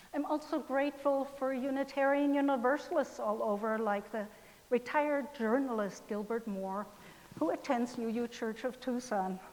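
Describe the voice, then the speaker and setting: A woman with a German accent speaks at a high pitch and a fairly slow pace, with ordinary pitch variation. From Germany, West Berlin. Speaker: pastor. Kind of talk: sermon.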